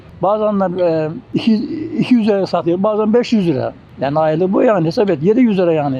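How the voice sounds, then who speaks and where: Very fast male speech, high-pitched for a man, with ordinary pitch variation and noticeable background noise. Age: 70s. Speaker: retired spoon maker and market seller. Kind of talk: street interview. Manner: halting.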